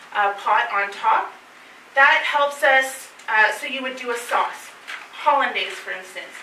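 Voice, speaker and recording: A woman with a Canadian accent speaks at a fairly slow pace, with audible room echo. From northern Ontario, Canada. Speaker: chef teaching a cooking class; presenter. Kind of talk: cooking class talk to a live group. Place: meeting room. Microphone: camera far.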